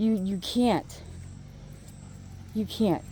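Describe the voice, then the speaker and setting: This woman's voice has a dark, mellow tone with ordinary pitch variation. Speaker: spiritual motivational vlogger. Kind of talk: casual motivational talk while walking. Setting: outdoors walking the dog. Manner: rambling, halting with repeats.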